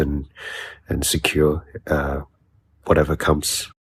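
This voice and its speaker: Somewhat breathy, the man's voice sits at a very deep, low pitch. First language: not English. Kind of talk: casual chat. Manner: halting.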